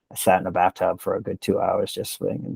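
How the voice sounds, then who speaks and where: A man with an American accent talks at a fairly quick pace in a very clean recording with a silent background and a dry, close sound with no echo. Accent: Boston accent, stronger when angry. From Cambridge, Massachusetts. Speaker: long-distance hiker and nonprofit founder. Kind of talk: storytelling in casual interview. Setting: podcast. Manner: animated.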